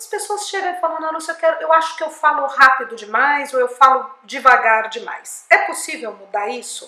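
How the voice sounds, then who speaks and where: A woman raises and projects her voice, her intonation lively. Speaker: speech therapist and communication coach. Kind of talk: educational talk to camera.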